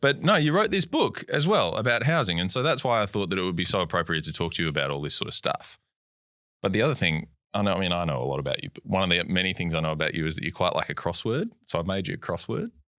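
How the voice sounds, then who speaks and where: With an Australian accent, a man with a very deep, low pitch and a bright, sharp tone talks very fast, his pitch swinging very widely, on a very clean recording with a silent background. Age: 30s. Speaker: podcast host and economics journalist. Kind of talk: casual interview chat.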